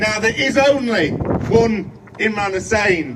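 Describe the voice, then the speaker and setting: Noticeable background noise surrounds a man with a high pitch and ordinary pitch variation. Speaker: politician. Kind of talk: campaign speech.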